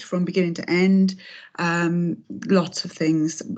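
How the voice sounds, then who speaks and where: This woman's voice sits fairly low. She speaks fairly slowly in a flat monotone. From South Wales (Aberdare, Rhondda Cynon Taf). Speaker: abuse survivor and trainer. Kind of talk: testimony. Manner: hesitant, many fillers.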